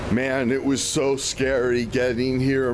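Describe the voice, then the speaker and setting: In a dry sound with no echo, a man speaks at a very slow pace against noticeable background noise. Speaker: vlogger. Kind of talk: casual vlog chat. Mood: a bit anxious, regretful. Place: street. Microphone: phone near.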